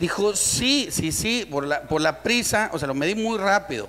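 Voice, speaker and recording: Lively intonation carries over light background noise. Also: man. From Mexico. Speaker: comedian. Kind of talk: stand-up joke telling. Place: studio. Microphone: handheld.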